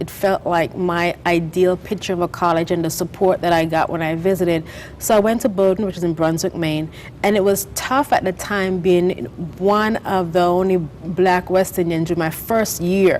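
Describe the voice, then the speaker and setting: Against noticeable background noise, a woman with a Caribbean accent speaks at a moderate pace in a medium pitch with ordinary pitch variation. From St. Vincent and the Grenadines. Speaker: author and business founder. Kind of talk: TV interview.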